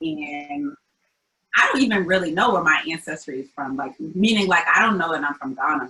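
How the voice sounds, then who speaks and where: Spoken at a moderate pace with lively intonation, this is a normal speaking voice. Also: woman, fairly low pitch for a woman. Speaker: community founder. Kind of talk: interview. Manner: casual, many fillers.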